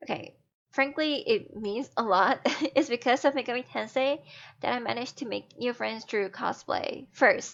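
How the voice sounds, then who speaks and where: This woman has a high-pitched voice. She speaks with a non-native accent. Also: ordinary pitch variation, moderate pace. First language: not English. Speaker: fan artist and cosplayer. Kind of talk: recorded personal testimony.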